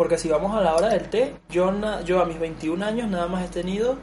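Over noticeable background noise, a man with a Venezuelan accent talks at a moderate pace. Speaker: podcast host. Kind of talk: casual chat.

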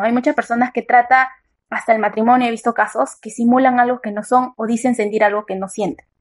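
This woman has an unremarkable speaking voice with fairly high pitch. She talks at a fairly quick pace. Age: 20s. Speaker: podcast guest, former taxi driver. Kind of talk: casual debate.

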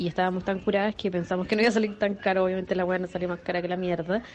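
A woman with a Chilean accent at a medium pitch. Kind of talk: casual chat. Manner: animated.

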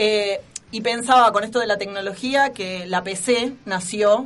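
An ordinary speaking voice, its pitch varying an ordinary amount. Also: woman. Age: 30s. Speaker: radio host. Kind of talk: casual chat.

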